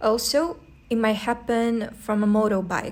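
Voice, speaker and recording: With a post-Soviet accent, a woman speaks at a fairly high pitch. Her pace is fairly slow. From post-Soviet country. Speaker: travel vlogger. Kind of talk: vlog narration. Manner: casual, conversational.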